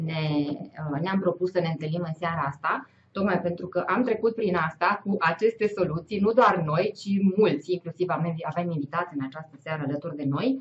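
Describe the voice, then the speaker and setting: Speaking in an unremarkable speaking voice, a woman keeps a moderate pace at a fairly low pitch with ordinary pitch variation. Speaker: host of live online session. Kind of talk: presentation to online audience. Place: home room. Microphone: webcam.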